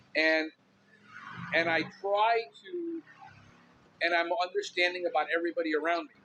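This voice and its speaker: This man talks loudly at a high pitch, keeping his intonation fairly even. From Miami, Cuban-American. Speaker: podcast host, pest control businessman. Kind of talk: casual podcast monologue. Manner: intense, outspoken.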